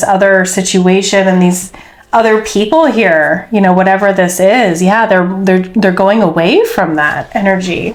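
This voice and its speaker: Amid audible room echo, a woman talks at a fairly slow pace with fairly even intonation. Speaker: tarot reader. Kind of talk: tarot reading. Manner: casual, filler-heavy.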